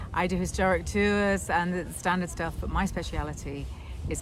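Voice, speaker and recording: Over music in the background, a woman with a Scottish accent speaks at a fairly quick pace. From Scotland. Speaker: tour guide. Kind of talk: interview answer.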